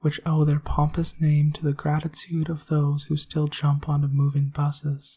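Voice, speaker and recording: Soft-spoken, the voice moves at a moderate pace with hardly any pauses. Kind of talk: essay reading.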